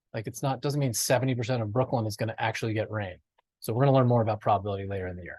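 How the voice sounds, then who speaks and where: A man's somewhat breathy voice is heard against a quiet background. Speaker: math teacher. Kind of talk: lecture. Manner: fast.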